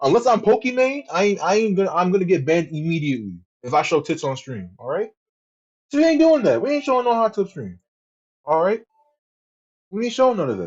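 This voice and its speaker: This man talks at a very fast pace in a high voice, his pitch swinging very widely, his tone animated, and his speech broken by long, frequent pauses. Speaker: streamer. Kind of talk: casual chat. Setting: live stream.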